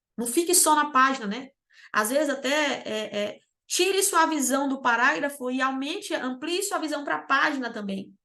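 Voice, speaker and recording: A woman uses a raised, projected voice, high in pitch and bright and sharp in tone. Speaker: exam preparation mentor. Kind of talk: online lecture. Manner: fast; animated.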